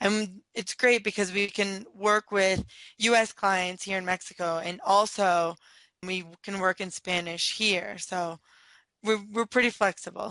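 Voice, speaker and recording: A woman's bright, sharp voice at a medium pitch, fairly slow in pace, dry and close with no echo, over a quiet background. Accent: American. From San Diego, California. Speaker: entrepreneur. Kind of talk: interview.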